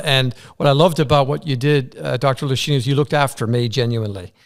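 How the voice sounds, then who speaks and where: In an Irish accent, a man talks at a very fast pace in a fairly high pitch. The recording is very clean, with a silent background. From Ireland. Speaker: interviewer. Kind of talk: interview conversation. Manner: enthusiastic.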